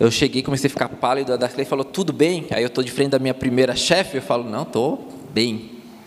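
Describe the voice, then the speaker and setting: A man speaks at a fairly quick pace with a Florianópolis accent and medium pitch. Noticeable background noise runs underneath. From Palhoça, Santa Catarina, Brazil. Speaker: former missionary. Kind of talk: testimony. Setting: church service with congregation.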